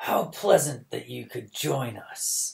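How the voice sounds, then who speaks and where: A man puts on a character voice. It comes out raspy. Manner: sickly sweet, insincere.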